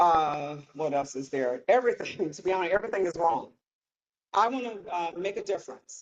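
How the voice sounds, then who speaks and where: A woman speaks with a fairly low pitch and very wide pitch swings. Her loudness swings widely. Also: moderate pace. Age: 60s. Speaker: state house candidate. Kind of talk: campaign speech with Q&A. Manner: halting.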